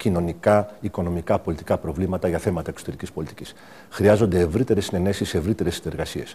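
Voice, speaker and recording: Fairly quick speech from a man, dark, mellow and somewhat breathy. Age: 60s. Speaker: diplomat and political candidate. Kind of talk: TV interview. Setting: TV studio.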